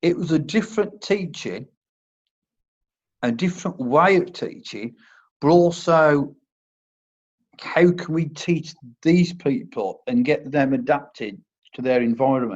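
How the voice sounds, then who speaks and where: This man speaks with a Worcestershire accent at a fairly high pitch, using very wide pitch swings. His pace is fairly slow with long, frequent pauses, against a quiet background. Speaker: army medic turned first aid instructor. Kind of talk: interview. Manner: halting, stammers on words.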